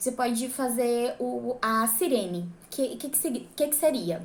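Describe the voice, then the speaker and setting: Her voice sits fairly high. This woman talks very slowly. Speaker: church singer and vocal coach. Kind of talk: tutorial. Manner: casual, with many filler words.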